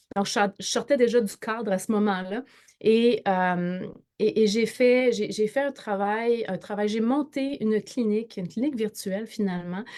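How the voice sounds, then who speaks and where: In a Quebec accent, a woman speaks fairly slowly with a fairly high, dark, mellow voice and ordinary pitch variation, on a very clean recording with a silent background. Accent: Québécois French. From Quebec, northern. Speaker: entrepreneur and network marketer. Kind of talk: interview. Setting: live video stream. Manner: halting, many repetitions and fillers.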